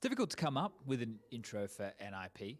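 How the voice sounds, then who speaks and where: The speaker is a man with an Australian accent. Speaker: esports host/interviewer. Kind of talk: esports interviews. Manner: fast.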